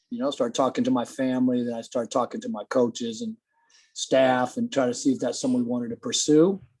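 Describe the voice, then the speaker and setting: A man with an American accent at a very fast pace, in a very clean recording with a silent background and a dry, close sound with no echo. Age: 60s. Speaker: college football head coach. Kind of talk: interview.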